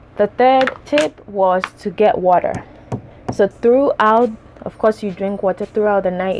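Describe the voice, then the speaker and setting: Music runs behind a woman whose speech keeps a moderate pace. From Ghana. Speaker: beauty vlogger. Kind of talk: casual tutorial. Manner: casual, with many fillers.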